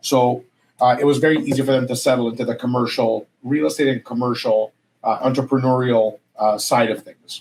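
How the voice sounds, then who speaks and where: A man talks fairly quickly, his pitch medium and his intonation fairly even. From Alberta, Canada (moved from Greece at 15). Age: 40s. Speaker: real estate broker. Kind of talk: podcast interview. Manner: frequent fillers and hesitations.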